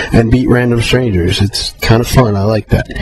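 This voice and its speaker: Music plays in the background as a man speaks. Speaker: video blogger. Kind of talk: video response monologue. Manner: hesitant, many fillers.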